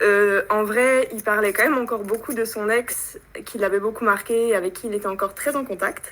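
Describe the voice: At a moderate pace, a woman speaks at a medium pitch with a fairly bright tone and fairly even intonation.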